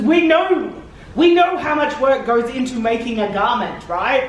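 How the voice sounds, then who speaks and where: Over noticeable background noise and audible room echo, a woman with an Australian accent speaks in a high-pitched, animated voice with lively intonation. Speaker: cosplayer giving convention panel. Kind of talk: convention panel talk. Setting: convention panel room with audience. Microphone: handheld camera mic, sound issues.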